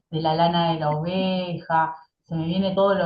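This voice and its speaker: Fairly low in pitch and somewhat breathy, a woman talks in a monotone, flat intonation. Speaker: interviewer, astrology channel host. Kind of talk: interview questions.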